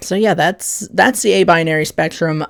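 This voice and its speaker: A woman's vocal fry in a very clean recording over a silent background. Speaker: video essayist on gender identity. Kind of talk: casual explainer monologue. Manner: hesitant, many fillers.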